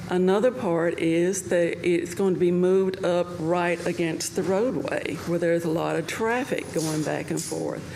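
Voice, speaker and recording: The speech is fairly slow, with hardly any pauses and fairly even intonation. Room echo and background noise are both noticeable. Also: woman, fairly low pitch for a woman. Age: 60s. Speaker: public commenter. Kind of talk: public comment.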